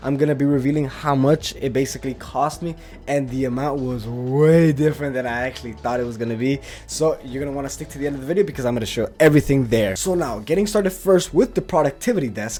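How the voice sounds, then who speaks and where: This man talks at a very fast pace with a fairly high pitch and a dark, mellow tone. His pitch varies in an ordinary way. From Latin America. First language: Spanish. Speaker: YouTuber. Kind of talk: desk tour video. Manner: casual, some false starts.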